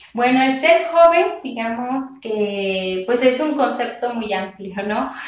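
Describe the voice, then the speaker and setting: In a room with audible echo and noticeable background noise, a woman speaks very slowly in a high voice with lively intonation. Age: 20s. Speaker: history graduate and youth activist. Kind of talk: interview. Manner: halting, many fillers.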